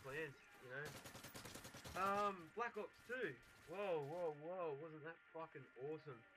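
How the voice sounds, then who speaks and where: A man with an Australian accent speaks in a fairly high pitch with a bright, sharp tone. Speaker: gaming clan leader. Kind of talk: casual gameplay commentary. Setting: laptop microphone.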